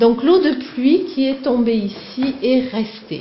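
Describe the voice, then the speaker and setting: A woman speaks with a Provençal accent and ordinary pitch variation. Background noise is noticeable. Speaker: cave tour guide. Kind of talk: guided tour talk. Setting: inside a cave.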